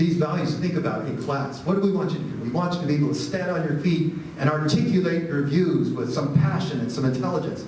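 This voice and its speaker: A man with a fairly high voice talking very fast with hardly any pauses, fairly even intonation, audible room echo and noticeable background noise. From Arizona, Phoenix area. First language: Spanish. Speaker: history professor. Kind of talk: audience Q&A after lecture. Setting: lecture hall with audience. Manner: halting, repeats words.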